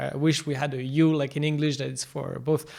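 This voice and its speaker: The speaker talks at a fairly quick pace in a French accent. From France. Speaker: podcast host. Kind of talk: podcast interview.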